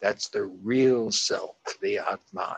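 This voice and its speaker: Very slowly, a man speaks in a dry, close sound with no echo. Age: 80s+. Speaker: spiritual advisor and author. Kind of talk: interview.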